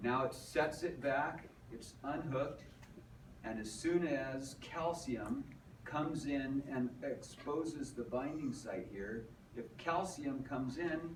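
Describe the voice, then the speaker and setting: A man at a very slow pace, fairly high in pitch, with ordinary pitch variation, audible room echo and noticeable background noise. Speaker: teacher. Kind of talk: lecture.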